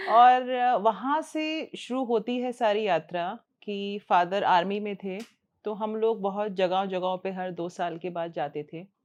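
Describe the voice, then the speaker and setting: A woman speaks in a plain, everyday voice at a medium pitch with ordinary pitch variation. Her loudness swings widely. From northern India, near Delhi. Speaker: ENT doctor. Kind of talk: interview. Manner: conversational.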